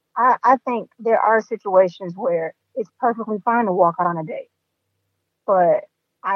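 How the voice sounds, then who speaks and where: A woman speaks in an ordinary speaking voice at a moderate pace, with ordinary pitch variation and big swings in loudness. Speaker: podcast host. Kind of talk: casual interview chat.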